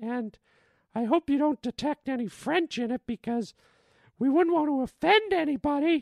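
The delivery, in a put-on character voice, keeps to a moderate pace. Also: female-sounding voice, high pitch for a woman. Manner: mock-apologetic, comedic.

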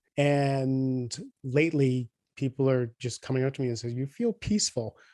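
Fairly even intonation marks a man's medium-pitched voice, an unremarkable speaking voice. The sound is dry and close with no echo. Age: 50s. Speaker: executive coach and author. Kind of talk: interview conversation.

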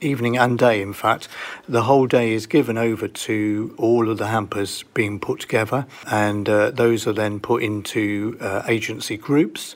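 A plain, everyday voice speaks at a moderate pace, its intonation fairly even. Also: man, medium pitch for a man. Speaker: charity volunteer. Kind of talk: interview.

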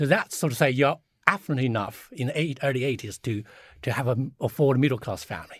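A man speaks with a Chinese accent at a medium pitch and ordinary pitch variation. The recording is very clean, with a silent background. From China. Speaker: China strategy advisor, former diplomat. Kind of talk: panel discussion. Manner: halting, many fillers.

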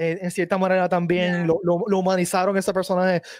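The speaker is a man. His pitch is high. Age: 40s. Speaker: podcast host. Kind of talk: casual chat.

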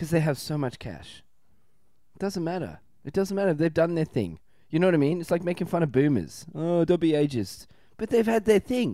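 A man with an Australian accent speaks at a moderate pace and a high pitch, with lively intonation. His tone is dark and mellow, on a very clean recording with a silent background. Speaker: comedian. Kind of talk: casual chat.

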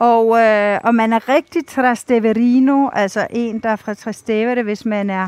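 Very slow speech with fairly even intonation, dry and close with no echo. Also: woman. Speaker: TV foreign correspondent and author. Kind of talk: interview. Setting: outdoors on a city square.

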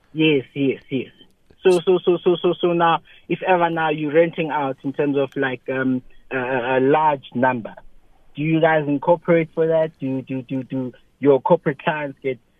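With a plain, everyday voice, a man speaks at a moderate pace and a fairly high pitch, his intonation fairly even. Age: 20s. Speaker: small business owner, caller. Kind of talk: call-in question. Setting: phone call.

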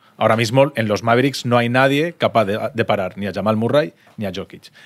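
Moving at a fairly quick pace, this is an ordinary speaking voice. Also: man. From Valencia region, Spain. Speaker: sports podcast co-host. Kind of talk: casual chat. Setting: restaurant in Madrid.

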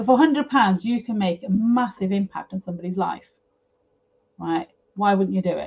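A somewhat breathy voice at a moderate pace, with ordinary pitch variation and long, frequent pauses. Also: woman, medium pitch for a woman. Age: 50s. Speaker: property developer. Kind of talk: casual interview chat.

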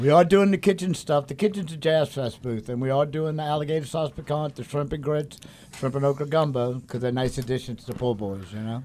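Speaking very fast with hardly any pauses, a man uses a fairly high pitch, ordinary pitch variation and a dark, mellow tone. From New Orleans. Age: old. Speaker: chef. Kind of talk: casual chat.

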